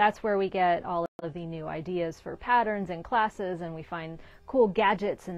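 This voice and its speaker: A woman's voice with ordinary pitch variation and a moderate pace, dry with no echo. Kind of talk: casual shop update talk. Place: shop. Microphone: lapel.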